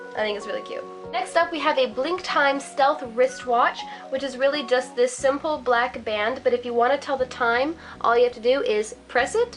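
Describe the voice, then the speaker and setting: Against music in the background, a woman with a high pitch speaks at a moderate pace with ordinary pitch variation. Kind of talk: casual talk to camera.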